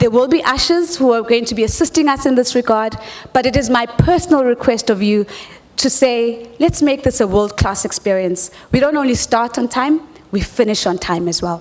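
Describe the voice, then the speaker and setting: A woman speaks at a moderate pace in a high voice with lively intonation, over noticeable background noise. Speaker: conference moderator. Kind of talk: event moderation. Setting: stage with audience.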